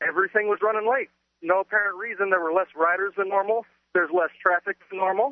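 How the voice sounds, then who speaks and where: In an American accent, a man speaks at a very fast pace. His pitch is high and his intonation fairly even. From Dallas, Texas. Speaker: caller. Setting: phone call, walking outdoors on street.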